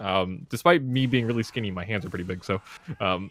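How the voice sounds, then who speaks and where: A man speaks in an unremarkable speaking voice, fairly quickly and with lively intonation. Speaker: fighting game player. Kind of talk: casual chat. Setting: podcast. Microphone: close to the microphone.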